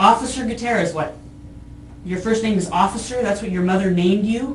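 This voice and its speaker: A woman talks at a fairly quick pace with ordinary pitch variation, with audible room echo and noticeable background noise. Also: medium pitch for a woman. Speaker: arrested woman. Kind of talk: police interview. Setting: jail interview room. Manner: loud.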